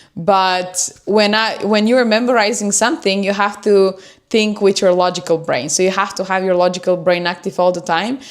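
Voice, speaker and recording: A woman with a non-native accent speaks at a moderate pace in a medium pitch, with ordinary pitch variation and hardly any pauses. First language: not English. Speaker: self-improvement YouTuber. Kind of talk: livestream talk. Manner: unscripted, hesitant with fillers.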